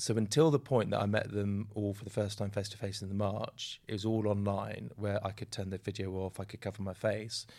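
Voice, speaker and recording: In an ordinary speaking voice, a man talks at a fairly quick pace with a fairly low pitch, fairly even intonation, and hardly any pauses. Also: very clean recording, silent background. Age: 50s. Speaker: doctor, podcast guest. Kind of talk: casual interview.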